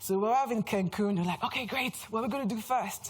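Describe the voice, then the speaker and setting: A woman talks very fast in a French accent, somewhat breathy. Her tone is animated and her intonation lively. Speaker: brand strategist. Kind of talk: conference talk.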